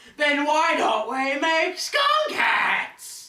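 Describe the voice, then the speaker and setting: This is a man using a put-on character voice. His pitch is extremely high. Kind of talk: amateur school-skit acting. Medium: comedy sketch.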